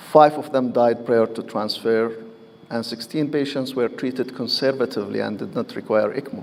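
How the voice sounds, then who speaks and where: A man talks at a medium pitch with fairly even intonation. Noticeable background noise is present. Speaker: physician giving a medical presentation. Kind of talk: lecture. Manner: slow; halting.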